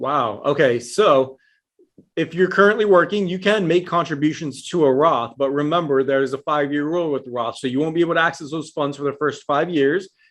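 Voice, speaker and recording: With an American accent, a man uses a normal speaking voice, fairly high in pitch with ordinary pitch variation, at a fairly quick pace against a quiet background. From Texas, El Paso. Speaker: IRA specialist. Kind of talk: interview.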